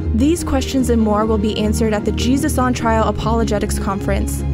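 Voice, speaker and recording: Music plays in the background while a woman talks at a fairly quick pace. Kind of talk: promotional trailer narration.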